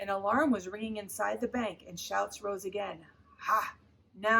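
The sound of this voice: This is an unforced reading voice. It carries throughout the clip.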